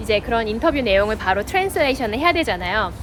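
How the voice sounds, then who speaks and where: A woman speaks with lively intonation. Noticeable background noise runs behind her. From South Korea. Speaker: real estate agent. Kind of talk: personal vlog narration. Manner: casual, conversational.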